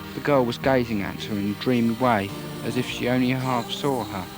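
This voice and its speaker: A man's medium-pitched speech comes with music in the background. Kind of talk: audiobook story reading.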